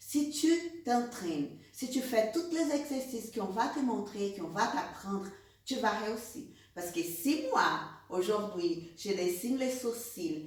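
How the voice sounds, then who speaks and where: Amid noticeable background noise and audible room echo, a woman with a Brazilian accent speaks at a very slow pace, her pitch swinging very widely. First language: Portuguese (speaking French). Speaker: beauty trainer, eyebrow specialist. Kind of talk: online course introduction. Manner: animated.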